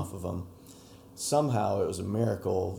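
A somewhat breathy man with an American accent at a moderate pace, audible room echo around him. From Utah, Utah Valley. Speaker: dirt bike rider. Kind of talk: interview. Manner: calm, subdued. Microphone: poorer audio quality than solo studio recordings.

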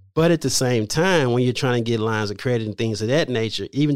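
With an American accent, a man talks at a medium pitch in a normal speaking voice, recorded very cleanly against a silent background. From Louisiana, then Houston, Texas. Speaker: credit repair specialist. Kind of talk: interview.

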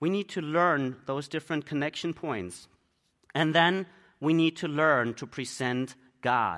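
A man's fairly high-pitched voice in a German accent, bright and sharp in tone, with ordinary pitch variation and a fairly slow pace, on a very clean recording with a silent background. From Germany. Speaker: missionary preacher. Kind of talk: sermon.

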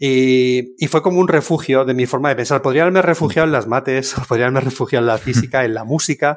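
Medium in pitch, a man talks at a fairly quick pace with ordinary pitch variation. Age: 50s. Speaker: software engineer. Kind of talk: casual interview. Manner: animated.

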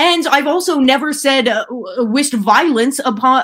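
A loud, animated woman's voice, high-pitched with lively intonation, at a moderate pace. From Ottawa, Canada. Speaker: comedian and radio host. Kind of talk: casual chat interview.

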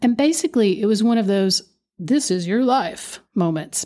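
A woman speaks with an Appalachian accent at a moderate pace, her tone dark and mellow. The recording is very clean, with a silent background. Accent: Appalachian Kentucky. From Eastern Kentucky, Appalachia. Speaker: podcast host, musician and dancer. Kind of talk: solo podcast monologue. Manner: animated.

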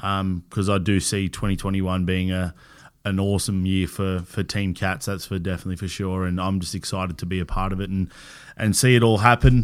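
In an Australian accent, a man talks at a fairly quick pace with a very deep, low pitch. His intonation stays fairly even, and the recording is very clean with a silent background. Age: 30s. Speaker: podcast host. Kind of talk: casual interview chat. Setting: in-person studio recording.

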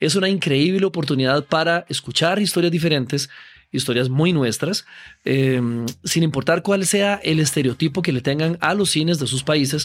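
A man uses a normal speaking voice at a fairly high pitch, with ordinary pitch variation and very even loudness. He keeps a moderate pace in a very clean recording with a silent background. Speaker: film podcast host. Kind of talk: interview; scripted outro. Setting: café.

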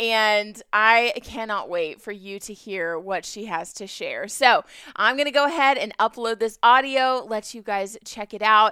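A woman's fairly high, bright and sharp voice, enthusiastic in tone, at a fairly slow pace with hardly any pauses and big swings in loudness, on a very clean recording with a silent background. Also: ordinary pitch variation. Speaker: podcast host, military wife. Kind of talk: casual solo podcast intro. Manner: enthusiastic, giggly.

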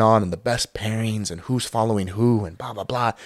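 Recorded dry and close with no echo, a man with an American accent speaks at a moderate pace in a medium pitch with ordinary pitch variation and an unremarkable speaking voice. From Utah. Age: 20s. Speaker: professional ballroom dancer. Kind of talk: casual chat.

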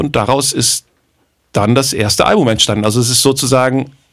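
With an unremarkable speaking voice, a man talks at a fairly quick pace and a medium pitch. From northern Germany, Bremen. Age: 50s. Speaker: jazz drummer and producer. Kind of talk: casual chat.

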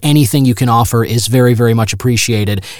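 Fairly even intonation carries a plain, everyday voice. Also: man. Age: 30s. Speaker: radio broadcaster and podcast host. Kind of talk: solo podcast monologue, review and news roundup.

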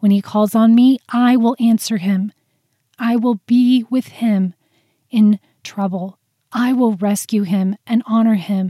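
Somewhat breathy and dark, mellow in tone, a woman speaks at a very slow pace with a fairly high pitch and fairly even intonation, the sound dry and close with no echo. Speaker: prayer podcast host. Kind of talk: fervent spoken prayer addressed to God. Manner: earnest, heartfelt, fervent.

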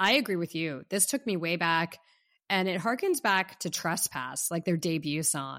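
A woman's bright, sharp voice with an American accent and ordinary pitch variation, on a very clean recording with a silent background. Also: fairly low pitch for a woman, moderate pace. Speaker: podcast co-host. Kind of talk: casual podcast chat, music review.

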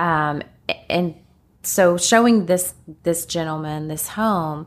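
Here is a woman with a Kentucky accent. Her pitch is fairly low, with ordinary variation. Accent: Kentucky country. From Kentucky, Lexington. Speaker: real estate agent. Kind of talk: casual interview chat. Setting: podcast recording. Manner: slightly nervous.

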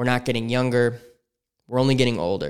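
This is a man's voice. The pitch is medium. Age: 30s. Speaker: podcast host. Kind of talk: solo monologue podcast. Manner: casual, with frequent fillers.

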